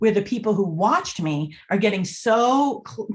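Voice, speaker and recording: A somewhat breathy woman's voice, fairly high, at a moderate pace. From Boston area, US. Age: 50s. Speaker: body language expert and author. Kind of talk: podcast interview.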